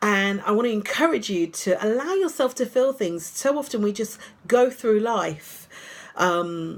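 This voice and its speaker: In a British accent, a woman talks at a fairly slow pace with a fairly high pitch and lively intonation. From UK. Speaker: life coach. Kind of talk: casual vlog talk. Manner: conversational, hesitant.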